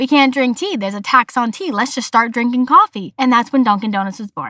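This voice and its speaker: Speaking with an American accent, a woman talks very fast in a high pitch with lively intonation. Her tone is bright and sharp, and the sound is dry and close, with no echo. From Massachusetts, US. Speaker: podcast host. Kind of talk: casual solo podcast. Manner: animated.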